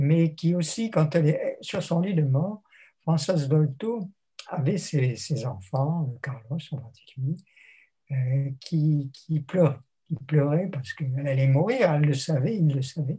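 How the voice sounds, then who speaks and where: Speaking at a very slow pace, a man has a fairly high pitch, a dark, mellow tone and a somewhat breathy sound. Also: ordinary pitch variation. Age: 80s+. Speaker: theologian and retired lecturer. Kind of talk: interview. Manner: reflective, with hesitations.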